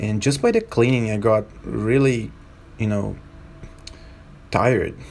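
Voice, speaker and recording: With a non-native accent, a man of fairly low pitch speaks at a fairly slow pace with fairly even intonation. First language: not English. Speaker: skateboarding vlogger. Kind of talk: vlog voiceover narration. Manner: halting.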